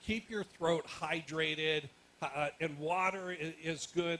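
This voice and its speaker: Over noticeable background noise, a man speaks loudly at a high pitch with ordinary pitch variation. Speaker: media commentator and workshop panelist. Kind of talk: panel discussion Q&A.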